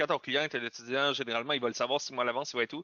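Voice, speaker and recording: Talking at a very fast pace, a man speaks in a fairly high-pitched voice. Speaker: webinar host, company founder. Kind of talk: webinar discussion.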